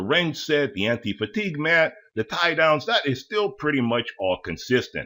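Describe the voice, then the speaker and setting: A man's fairly high, bright, sharp voice with very wide pitch swings and vocal fry. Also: very clean recording, silent background. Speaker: tool deals YouTuber. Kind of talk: product walkthrough. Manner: casual.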